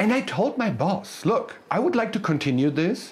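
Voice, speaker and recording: A German accent at a fairly quick pace over noticeable background noise. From Germany, countryside. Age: 40s. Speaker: motivational speaker. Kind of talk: motivational speech.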